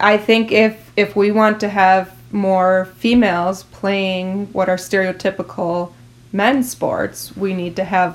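With an Upper Midwest accent, a woman speaks at a medium pitch. Her intonation stays fairly even. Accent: Upper Midwest (Minnesota). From New Ulm, Minnesota. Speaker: former athlete. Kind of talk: interview.

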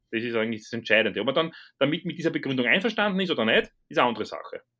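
A man's pitch swings very widely in a very clean recording against a silent background. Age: 30s. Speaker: strength coach. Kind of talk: casual chat.

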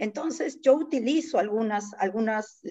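At a very slow pace, this woman's speech has a dark, mellow tone. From Peru, Lima (San Juan de Miraflores). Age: 50s. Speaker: poet. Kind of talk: casual chat.

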